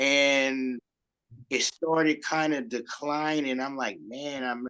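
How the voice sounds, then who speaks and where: Here a man talks at a very slow pace in a fairly high, bright, sharp tone. His intonation is monotone and flat. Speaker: radio show host. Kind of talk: casual chat. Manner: slow, with gaps.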